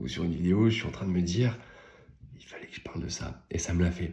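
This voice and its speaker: Very deep, low pitch from a man, a fairly quick pace, and ordinary pitch variation. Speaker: business coach and content creator. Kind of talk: casual vlog monologue. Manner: halting, with fillers; whispering at times.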